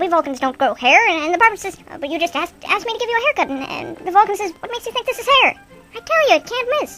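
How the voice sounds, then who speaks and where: In a squeaky, put-on character voice, a woman rattles off her lines at a very fast pace. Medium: solo performance. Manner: fast, joking.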